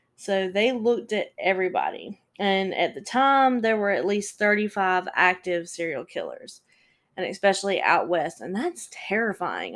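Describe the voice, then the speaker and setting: Here a woman speaks in a plain, everyday voice at medium pitch. Her pace is moderate and her pitch variation ordinary. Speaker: true crime podcast host. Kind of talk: casual storytelling monologue. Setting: solo podcast recording.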